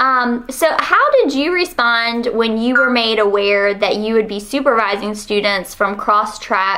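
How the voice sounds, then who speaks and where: The speaker has a Southern US accent and talks at a fairly slow pace with ordinary pitch variation. Noticeable background noise runs underneath. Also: woman. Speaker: university researcher. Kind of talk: research interview.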